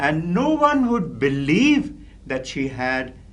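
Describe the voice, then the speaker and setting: Words come at a very slow pace, with audible room echo around the voice. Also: man. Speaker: professor and public speaking trainer. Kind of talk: lecture. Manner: clear, carefully articulated; formal.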